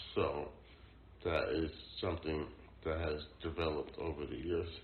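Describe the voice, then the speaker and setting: The speech moves at a moderate pace. Audible room echo surrounds it. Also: man. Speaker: poet and mental health service user. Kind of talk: interview testimony. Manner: halting.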